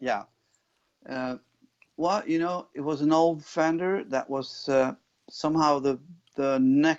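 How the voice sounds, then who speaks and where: The speaker has a Swedish accent. The pace is fairly slow. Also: man. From Sweden, Jämtland. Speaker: rock guitarist and singer. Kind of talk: interview. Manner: halting.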